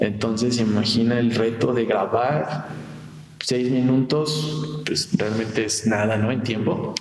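Amid noticeable background noise and audible room echo, a man with a Mexican accent speaks very slowly at medium pitch with ordinary pitch variation. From Mexico, Morelia. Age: 20s. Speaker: audio engineer and music producer. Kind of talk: casual interview.

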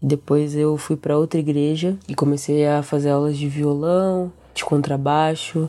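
A woman speaks with a very deep, low pitch. Her intonation stays monotone and flat. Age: 20s. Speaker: bassist and singer. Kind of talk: casual interview chat.

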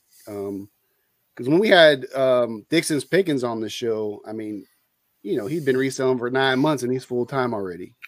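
A man with an American accent speaks at a moderate pace in a plain, everyday voice, his pitch medium and its variation ordinary, on a very clean recording with a silent background. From US West Coast, San Francisco Bay Area. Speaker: retired soldier, culinary instructor and part-time reseller. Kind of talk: casual chat.

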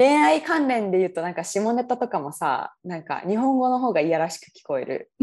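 The speaker goes at a fairly quick pace with hardly any pauses, very wide pitch swings and big swings in loudness. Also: woman, medium pitch for a woman. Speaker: software engineer, guest co-host. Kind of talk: casual chat.

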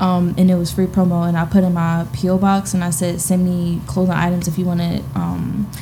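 A woman speaks at a fairly quick pace with an American accent and a fairly low pitch. Noticeable background noise runs behind her. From New Jersey, Trenton. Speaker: marketing entrepreneur and influencer. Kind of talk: casual chat.

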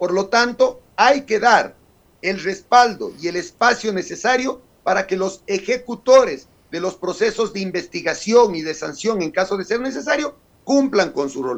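This man's voice sits high, and his intonation is lively. He keeps to a moderate tempo. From Ecuador, Carchi province. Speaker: legislator. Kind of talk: radio interview. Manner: formal.

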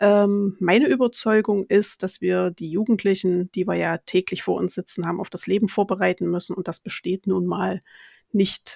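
A woman's medium-pitched voice with vocal fry at a moderate pace, recorded dry and close with no echo, very clean, against a silent background. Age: 40s. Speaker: teacher. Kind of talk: casual interview.

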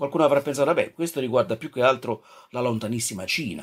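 At a very fast pace, a man speaks in a fairly high voice with lively intonation. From Naples, southern Italy. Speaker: radio preacher. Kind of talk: devotional radio talk. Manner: halting.

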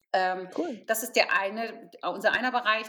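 Bright and sharp in tone, the speech keeps a moderate pace. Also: woman. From Potsdam, eastern Germany. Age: 50s. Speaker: charity founder. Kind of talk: interview.

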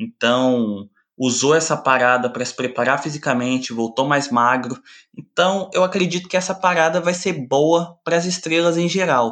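This is a man with an unremarkable speaking voice, fairly high in pitch. He talks at a moderate pace with ordinary pitch variation. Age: 20s. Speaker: sports journalist. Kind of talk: casual chat.

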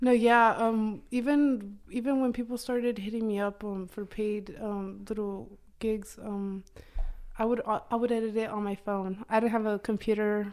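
A woman's fairly high voice with an American accent and monotone, flat intonation. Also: fairly slow pace. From Oklahoma. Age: 20s. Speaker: photographer. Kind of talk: casual chat.

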